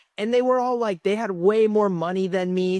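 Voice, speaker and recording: On a very clean recording with a silent background, a woman speaks in an animated tone at medium pitch with ordinary pitch variation. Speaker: content creator and amateur musician. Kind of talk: vlog monologue. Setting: self-recorded on camera. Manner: casual, animated.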